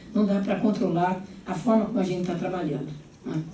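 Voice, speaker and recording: A medium-pitched woman speaks amid noticeable background noise and audible room echo. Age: 70s. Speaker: gubernatorial candidate and education professor. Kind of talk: political debate. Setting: panel debate before an audience of teachers.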